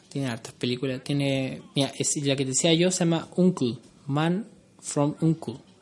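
Speaking fairly slowly, a man with a Chilean accent uses a fairly high pitch. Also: ordinary pitch variation. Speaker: podcast co-host. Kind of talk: casual chat.

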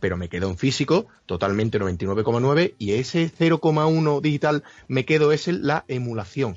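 The pitch swings very widely at a fairly slow pace. There are hardly any pauses. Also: man, medium pitch for a man. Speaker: gamer. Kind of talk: casual chat.

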